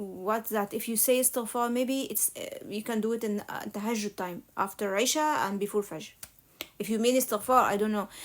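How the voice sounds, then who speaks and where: With an Egyptian accent, a woman speaks fairly quickly in a fairly high voice with fairly even intonation, on a very clean recording with a silent background. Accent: non-native English, Egyptian Arabic. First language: Arabic. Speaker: religious live streamer. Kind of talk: casual live Q&A. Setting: live stream.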